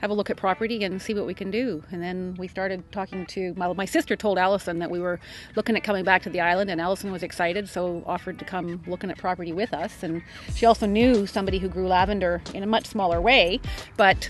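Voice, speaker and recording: Over faint background music, a woman talks very fast with fairly even intonation, the sound dry with no echo. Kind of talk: interview answer. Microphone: lapel.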